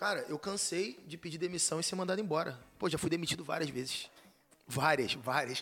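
Fairly high and quick, the man's voice has a bright, sharp tone. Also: ordinary pitch variation. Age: 30s. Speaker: content marketer and former math teacher. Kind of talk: casual chat.

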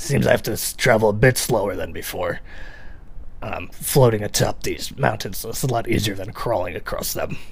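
A man talks at a moderate pace in a put-on character voice. Background noise is clearly audible.

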